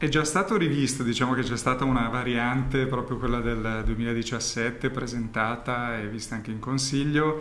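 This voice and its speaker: Light background noise sits behind a man's voice. He keeps a moderate pace and fairly even intonation. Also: hardly any pauses. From Milan, northern Italy. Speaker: race organizer and local councillor; local councillor. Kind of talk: interview. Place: studio. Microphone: studio mic.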